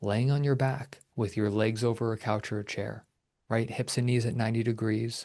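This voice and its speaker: Against a quiet background, a man with a medium pitch speaks at a moderate pace in a calm tone with monotone, flat intonation. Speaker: personal trainer and pain management expert. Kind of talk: interview explanation. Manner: measured.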